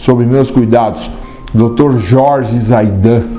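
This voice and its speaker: Music plays behind a man whose intonation is fairly even. Room echo is audible in the recording. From Brazil, São Paulo city. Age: 60s. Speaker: physician. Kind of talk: interview testimony.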